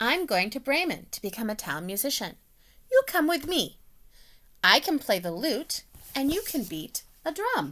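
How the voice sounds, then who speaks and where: A woman uses a put-on character voice with a high pitch and very wide pitch swings. She keeps a moderate pace broken by long, frequent pauses. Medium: read story.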